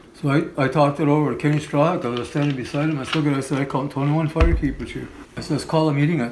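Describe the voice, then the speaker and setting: At a very fast pace, a man with a fairly high pitch speaks amid audible room echo and noticeable background noise. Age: 60s. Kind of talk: interview storytelling. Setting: in-person interview. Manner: halting, with repetitions.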